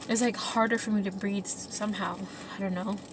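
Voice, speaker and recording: Through noticeable background noise, a woman talks fairly quickly at a fairly high pitch with monotone, flat intonation. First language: not English. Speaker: vlog co-host. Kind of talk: casual chat.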